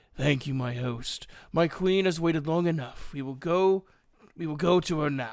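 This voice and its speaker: A put-on character voice at a moderate pace. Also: man, fairly high pitch for a man. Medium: read story. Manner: formal archaic speech.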